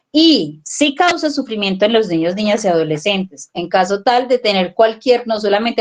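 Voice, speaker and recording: At a moderate pace, the speaker has an unremarkable speaking voice with lively intonation. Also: woman. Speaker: family educator. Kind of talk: parenting workshop talk.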